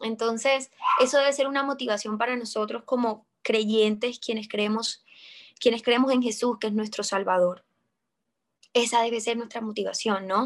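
A woman's fairly high, an ordinary speaking voice, with fairly even intonation at a moderate pace. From Colombia. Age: 20s. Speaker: actress. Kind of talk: interview testimony.

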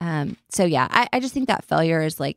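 Lively intonation runs through this voice with a West Texas accent. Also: woman. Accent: West Texas Southern US. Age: 40s. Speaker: beauty entrepreneur. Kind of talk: interview. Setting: studio.

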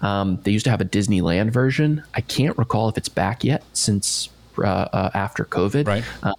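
Speaking at a moderate pace, a man with an American accent uses a fairly low pitch and ordinary pitch variation in an ordinary speaking voice. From US, Maryland near D.C. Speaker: marketer and former theme park worker. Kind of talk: casual interview chat.

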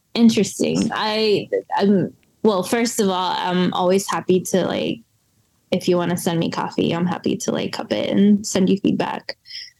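With an American accent, a woman speaks in an unremarkable speaking voice at a medium pitch and moderate pace, with ordinary pitch variation. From US South, western North Carolina. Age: 30s. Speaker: coffee roaster and business owner. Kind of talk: casual interview chat.

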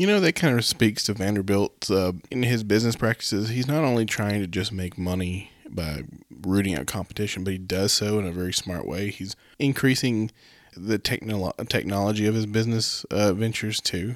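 With an unremarkable speaking voice, a man talks at a fairly quick pace and a fairly low pitch, with ordinary pitch variation, on a very clean recording over a silent background. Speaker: podcast co-host. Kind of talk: casual conversational discussion.

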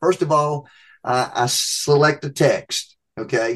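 The background is quiet as a man speaks. His voice is somewhat breathy and fairly high in pitch. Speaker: preaching professor. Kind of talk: interview answers on preaching.

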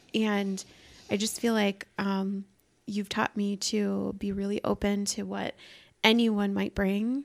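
A woman's very slow, monotone and flat delivery with an American accent, in a dry, close sound with no echo and a very clean recording with a silent background. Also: medium pitch for a woman. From Iowa. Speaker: podcast guest. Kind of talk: casual chat.

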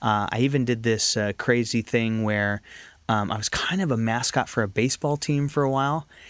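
A man with a plain, everyday voice and an American accent speaks at a fairly quick pace and medium pitch with ordinary pitch variation, in a very clean recording with a silent background and a dry, close sound with no echo. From Northern California. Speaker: actor and filmmaker. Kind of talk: casual interview chat. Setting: studio.

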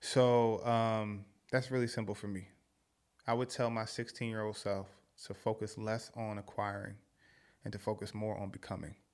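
Flat, monotone delivery from a man at a fairly low pitch, moderate pace with long, frequent pauses, on a very clean recording with a silent background. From Philadelphia. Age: 30s. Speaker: podcast guest, social media personality and mentor. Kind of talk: casual chat.

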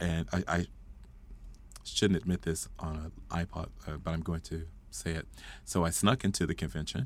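A man with an American accent and very deep, low pitch, moderate pace, ordinary pitch variation and long, frequent pauses. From Fort Worth, Texas. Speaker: choral music educator. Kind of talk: interview conversation. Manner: animated.

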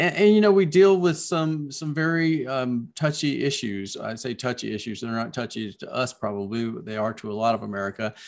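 Speaking with a Southern US accent at a fairly quick pace, a man swings his pitch very widely on a very clean recording with a silent background. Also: medium pitch for a man, hardly any pauses, big swings in loudness. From US South. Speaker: children's book author. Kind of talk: casual interview chat.

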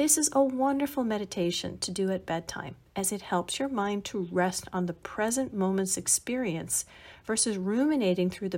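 A woman with an ordinary speaking voice talks at a medium pitch with lively intonation. The recording is very clean and the background silent. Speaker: mindfulness podcast host. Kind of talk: guided body-scan meditation, spoken instructions to listener. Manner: slow, soothing, gently paced instructions; warm, calm and encouraging.

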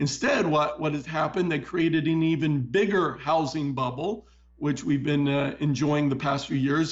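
An ordinary speaking voice with ordinary pitch variation. The pace is fairly quick. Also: man. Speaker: political and economic commentator. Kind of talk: interview with news commentary. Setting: studio.

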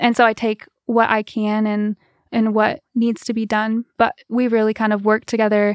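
In a very clean recording with a silent background and a dry, close sound with no echo, a woman with an American accent speaks in a monotone, flat intonation. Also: fairly high pitch for a woman, moderate pace. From US Midwest. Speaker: musician. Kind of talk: casual chat. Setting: studio.

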